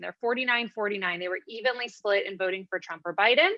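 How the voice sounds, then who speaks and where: A woman talks at a very fast pace. Behind her the background is quiet. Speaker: panelist, political researcher. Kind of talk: academic presentation with slides.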